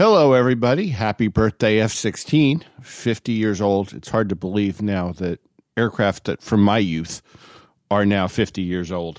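A man in a normal speaking voice talks at a moderate pace with fairly low pitch and ordinary pitch variation, recorded very cleanly with a silent background and a dry, close sound with no echo. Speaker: aviation historian.

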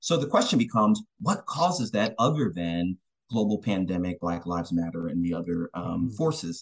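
Using an unremarkable speaking voice, a man with fairly low pitch talks at a fairly quick pace with lively intonation. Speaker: university professor and researcher.

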